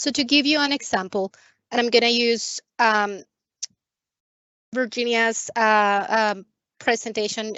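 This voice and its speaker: A woman uses a normal speaking voice with fairly even intonation. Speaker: credit union staff presenter. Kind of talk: webinar Q&A. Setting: video call.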